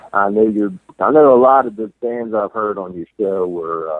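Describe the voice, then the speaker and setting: His pitch varies in an ordinary way as a man speaks at a fairly slow pace. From Baltimore, Maryland, US. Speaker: listener sending audio message. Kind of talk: recorded voice message.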